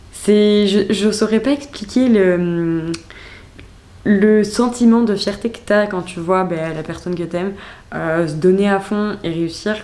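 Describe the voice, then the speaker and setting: The speaker goes at a very slow pace, with ordinary pitch variation and big swings in loudness. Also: woman, medium pitch for a woman. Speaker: vlogger. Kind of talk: casual vlog narration. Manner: chatty, hesitant with fillers.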